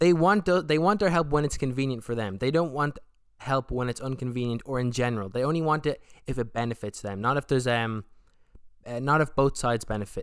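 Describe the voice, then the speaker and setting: In an Irish accent, a man at medium pitch sounds animated, his intonation lively. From Republic of Ireland. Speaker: podcast host. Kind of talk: casual solo monologue.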